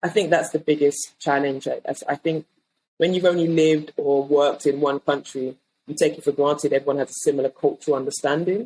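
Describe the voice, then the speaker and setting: A woman with a British accent, a very deep, low pitch and a dark, mellow tone at a fairly quick pace with fairly even intonation, in a dry, close sound with no echo. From England. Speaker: design leader. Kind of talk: interview.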